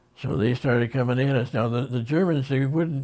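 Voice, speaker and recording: Somewhat breathy, a man with a Western New York accent speaks at medium pitch with fairly even intonation. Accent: Western New York American. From Rochester, New York. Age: 80s+. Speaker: war veteran. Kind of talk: interview answer.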